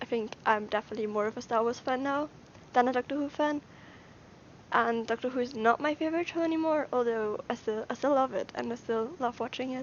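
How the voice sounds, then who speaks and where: At a fairly quick pace, a woman with a high pitch speaks with ordinary pitch variation. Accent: Austrian. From Austria. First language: German. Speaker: YouTuber. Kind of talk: casual livestream Q&A. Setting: livestream from brother's room.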